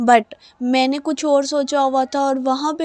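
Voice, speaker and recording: Female speech amid noticeable background noise. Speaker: vlogger. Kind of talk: vlog voice-over narration. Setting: home voice recording.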